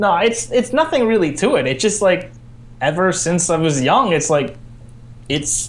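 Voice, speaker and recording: Very even loudness runs through this man's high-pitched voice. He talks at a moderate pace with lively intonation. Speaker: fanfiction writer, visual novel co-creator. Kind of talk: casual interview. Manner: casual, hesitant with fillers.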